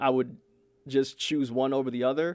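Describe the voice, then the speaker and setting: A man with a fairly high pitch at a fairly slow pace. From Brooklyn, New York. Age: 20s. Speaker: podcast host. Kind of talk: casual chat.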